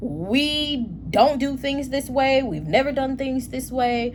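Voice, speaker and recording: A woman talks in an animated tone, with audible room echo and noticeable background noise around her. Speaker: tarot reader. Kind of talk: tarot reading.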